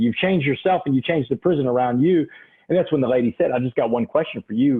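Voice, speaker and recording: Very fast and animated, a man with a Southeast Texas accent speaks at a fairly high pitch with ordinary pitch variation. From Texas, Port Arthur (Gulf Coast). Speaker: motivational speaker. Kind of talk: interview testimony.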